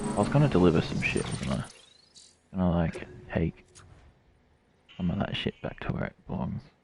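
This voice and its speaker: A man's very deep, low voice at a fairly quick pace, with music in the background. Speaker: game streamer. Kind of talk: casual chat while streaming a game.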